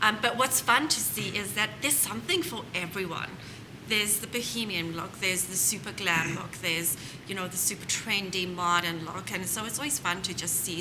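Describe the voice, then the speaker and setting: Over noticeable background noise and audible room echo, a woman talks at a moderate pace with a medium pitch. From South Africa. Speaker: home staging business owner. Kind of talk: panel interview.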